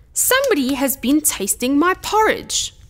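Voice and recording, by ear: A woman's put-on character voice, high-pitched, gruff and growling, with very wide pitch swings at a moderate pace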